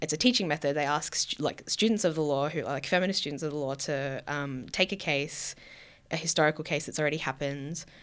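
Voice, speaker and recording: In an Australian accent, a woman talks at a very fast pace with a very deep, low pitch. The recording is very clean with a silent background. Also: ordinary pitch variation. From Victoria, Australia (Queenscliff, near Geelong). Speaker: PhD researcher. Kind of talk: interview conversation.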